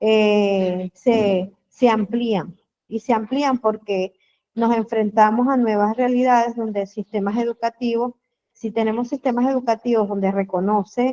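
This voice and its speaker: The woman's tone is dark and mellow. She keeps a fairly slow pace with fairly even intonation. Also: fairly high pitch for a woman, dry, close sound with no echo. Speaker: diplomado participant, educator. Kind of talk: online seminar discussion. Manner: halting, many fillers.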